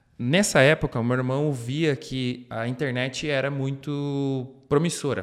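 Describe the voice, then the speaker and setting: In an ordinary speaking voice, a man at a medium pitch talks fairly slowly with fairly even intonation and hardly any pauses. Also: very clean recording, silent background. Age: 30s. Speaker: marketing manager. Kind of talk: interview. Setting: studio.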